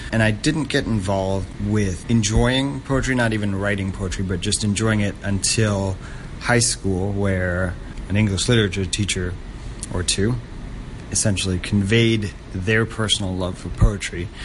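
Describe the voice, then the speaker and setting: Noticeable background noise runs behind a man's fairly low voice. He talks at a moderate pace with ordinary pitch variation. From Hong Kong. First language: Danish. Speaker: poet. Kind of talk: interview.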